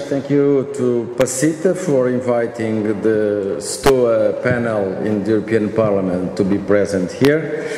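A man at a fairly slow pace with ordinary pitch variation, light background noise and audible room echo. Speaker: panel chairman giving a conference address. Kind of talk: formal speech. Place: hall. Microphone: podium.

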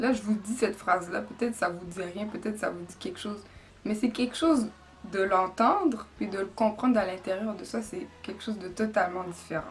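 A woman at a fairly quick pace, ordinary pitch variation, light background noise. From Quebec. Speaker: church member giving baptism testimony. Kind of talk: testimony. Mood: earnest, calm, reflective. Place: empty room. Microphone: camera far.

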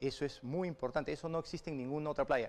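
The man talks with a fairly high pitch. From Peru. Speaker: politician. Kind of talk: political interview. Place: studio. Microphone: lapel.

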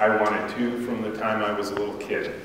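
Noticeable background noise and strong room echo surround a man speaking at a moderate pace. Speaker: speaker. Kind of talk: lecture. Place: hall.

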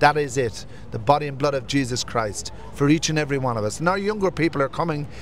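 A man talks at a very fast pace at a fairly high pitch with ordinary pitch variation. The sound is dry with no echo, over light background noise. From Irish Traveller community, family from County Wexford. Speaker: pilgrim. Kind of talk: testimony. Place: street. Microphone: handheld.

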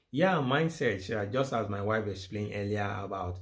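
The speech moves at a moderate pace with ordinary pitch variation. The background is quiet. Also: man. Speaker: married couple vlogger. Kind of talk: casual vlog chat on relationships. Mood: light, amused, sometimes laughing. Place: home room.

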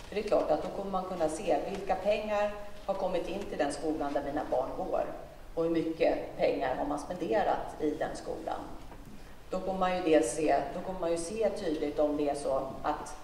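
A woman's fairly low voice at a moderate pace with ordinary pitch variation, plus light background noise and audible room echo. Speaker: politician answering a question. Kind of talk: speech answering an audience question. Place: hall.

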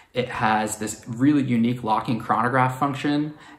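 In a room with audible echo, a man with an American accent speaks with fairly even intonation. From New York City. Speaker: watch collector. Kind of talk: personal story to camera. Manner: hesitant with fillers. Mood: warm, fond. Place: home room.

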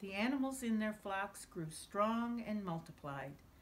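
A woman speaks at a fairly slow pace in a somewhat breathy voice with very wide pitch swings. Light background noise is present. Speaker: author reading her own book. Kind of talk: children's bedtime story reading. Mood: gentle, warm bedtime storytelling. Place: home room.

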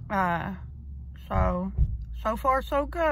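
A woman speaking at a very slow pace, dry sound with no echo, light background noise. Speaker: vlogger. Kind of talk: casual vlog chat. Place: car. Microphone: phone near.

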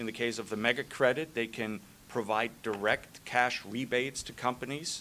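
A man's bright, sharp voice with fairly even intonation at a moderate pace, over light background noise. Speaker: site selection consultant; panelist. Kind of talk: committee testimony. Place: hall.

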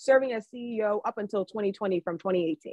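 Her voice sits at a fairly high pitch with ordinary pitch variation. The woman is recorded with a dry sound, no echo, and a quiet background. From Maryland, US. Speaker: economist and book editor. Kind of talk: virtual book talk interview. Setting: video call. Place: home room. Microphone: video call.

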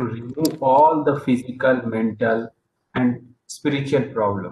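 Amid audible room echo and light background noise, a man with an Indian accent speaks fairly slowly in a medium pitch, somewhat breathy. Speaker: yoga meditation presenter; presenter. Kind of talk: presentation/lecture; lecture. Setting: video call. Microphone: video call.

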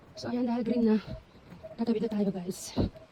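Against noticeable background noise, a woman speaks at a moderate pace in a fairly high pitch with ordinary pitch variation. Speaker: vlogger. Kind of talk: walking vlog. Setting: outdoors.

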